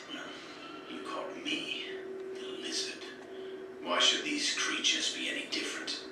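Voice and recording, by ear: Amid loud background noise and slight echo, a man puts on a cartoonish character voice at a moderate pace.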